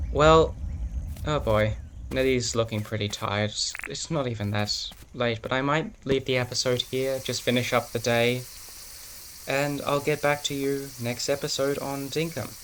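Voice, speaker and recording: Noticeable background noise sits under this recording. The man speaks at a moderate pace with fairly even intonation. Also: medium pitch for a man. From urban Australia. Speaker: gaming YouTuber. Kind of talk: let's-play commentary. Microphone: laptop recording, stuttering video.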